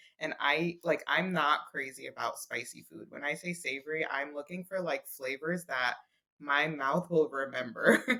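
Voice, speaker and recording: A woman with a New York accent speaks at a moderate pace in a very deep, low voice. Her tone is bright and sharp, and her intonation stays fairly even. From Brooklyn, New York. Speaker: food blogger. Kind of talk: podcast interview answer.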